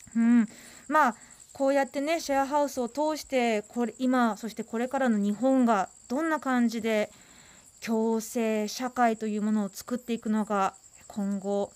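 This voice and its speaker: A woman's fairly high voice moves at a moderate pace, its pitch varying in an ordinary way. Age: 30s. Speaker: radio host. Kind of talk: casual chat. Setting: studio. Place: studio.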